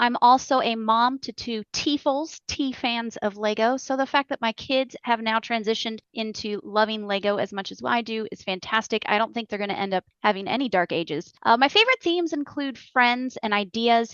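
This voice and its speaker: A woman with a plain, everyday voice and an American accent speaks at a moderate pace with hardly any pauses, her fairly high pitch showing ordinary variation. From Ohio, US Midwest. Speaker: podcast co-host, kids' LEGO teacher. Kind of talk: casual chat.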